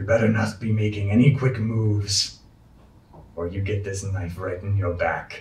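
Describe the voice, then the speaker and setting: A man's gruff, growling put-on character voice, fairly low in pitch, at a moderate pace with fairly even intonation. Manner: threatening, menacing.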